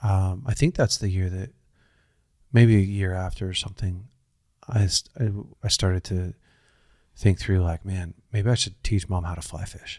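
A man speaks at a moderate pace with long, frequent pauses, his very deep, low voice dark and mellow, somewhat breathy, and fairly even in intonation, on a very clean recording with a silent background. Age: 40s. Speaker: pastor and podcast host. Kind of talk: casual interview.

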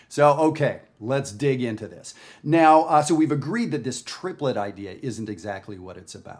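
With a Canadian accent, a man talks in a plain, everyday voice at a moderate pace, his intonation lively. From Canada. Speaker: jazz educator. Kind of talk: tutorial. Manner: casual, conversational.

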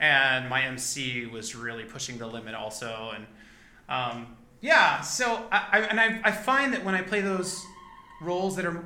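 A man's high-pitched voice with an American accent, very wide pitch swings, and a moderate pace over music in the background. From Rio Grande Valley, Texas. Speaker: actor and singer. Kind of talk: casual interview chat.

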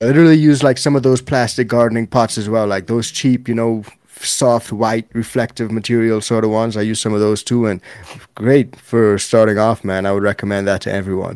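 At a fairly quick pace, a man with a normal speaking voice talks at a medium pitch. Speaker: cannabis YouTuber. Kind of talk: casual chat.

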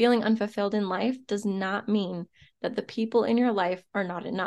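A woman speaks at a moderate pace with a fairly high pitch and a dark, mellow tone. Her intonation stays fairly even over a quiet background. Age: 30s. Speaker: podcast host, entrepreneur. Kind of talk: solo podcast monologue, motivational.

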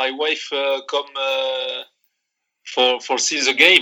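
Very slow speech in a strong Moroccan accent carries a bright, sharp tone. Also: man. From Morocco. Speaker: football coach, former player. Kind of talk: interview. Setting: remote call.

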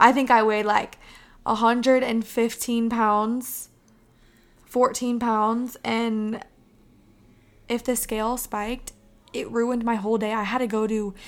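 Her intonation monotone and flat, a woman with a fairly high pitch speaks with long, frequent pauses. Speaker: podcast host. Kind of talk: pep talk. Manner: passionate, emphatic; warm, encouraging.

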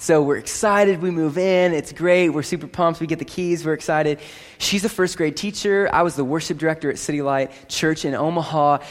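A man's fairly high voice moves at a fairly quick pace. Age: 20s. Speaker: pastor. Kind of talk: sermon. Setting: church. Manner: animated.

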